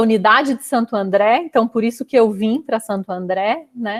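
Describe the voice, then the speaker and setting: In a Minas Gerais accent, a woman talks at a fairly high pitch with ordinary pitch variation, recorded very clean and dry, close and echo-free, over a silent background. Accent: Minas Gerais (mineiro) accent, noticeable. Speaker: chemical engineer. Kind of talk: casual interview chat.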